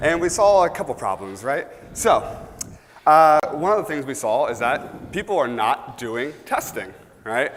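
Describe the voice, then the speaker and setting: Loud and fairly slow, a man speaks at a fairly high pitch with very wide pitch swings. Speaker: conference speaker. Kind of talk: conference talk. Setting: stage with audience.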